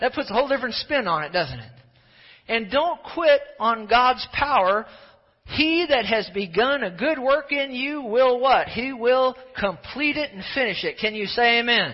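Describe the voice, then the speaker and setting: An extremely high-pitched man's voice with lively intonation. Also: moderate pace. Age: 50s. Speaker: pastor. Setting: church service with live congregation. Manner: brisk, hurrying along for the sake of time.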